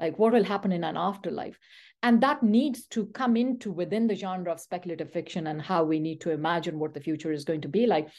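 Against a quiet background, a woman speaks at a very fast pace with lively intonation and a medium pitch. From Peshawar, Pakistan. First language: Pashto. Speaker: university professor. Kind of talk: interview, academic discussion.

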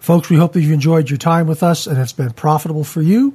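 Somewhat breathy, with a dark, mellow tone, a man speaks at a fairly quick pace. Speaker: church podcast host. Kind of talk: Bible study discussion. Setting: studio.

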